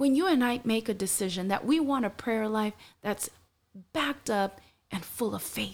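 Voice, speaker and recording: In a very clean recording with a silent background, a woman with a fairly high, somewhat breathy voice and a warm tone talks at a moderate pace with lively intonation. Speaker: podcast host. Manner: earnest, warm, encouraging.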